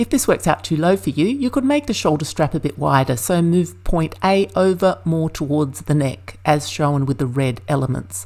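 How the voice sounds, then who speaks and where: A woman with a very deep, low pitch swings it very widely, keeping her loudness very even and hardly pausing. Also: moderate pace. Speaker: sewing pattern maker. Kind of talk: tutorial. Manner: clear, measured instructional.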